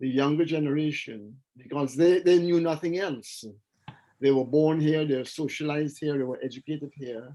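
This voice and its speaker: A man's voice, dark and mellow in tone, moves with fairly even intonation. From Guyana, Georgetown. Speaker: bookseller and activist. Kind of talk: interview testimony.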